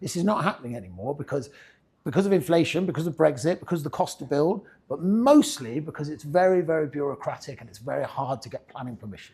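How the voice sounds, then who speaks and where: Pitched fairly high, a man talks at a very fast pace with lively intonation. His tone is dark, mellow and somewhat breathy, and his loudness swings widely. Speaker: property agency head giving investor seminar. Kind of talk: seminar presentation. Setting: room with live audience. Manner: casual, conversational.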